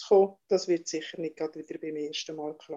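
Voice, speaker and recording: A woman speaks with fairly even intonation. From Valais, Switzerland. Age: 60s. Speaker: mother of the host, telling her birth stories. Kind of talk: personal testimony. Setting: video call.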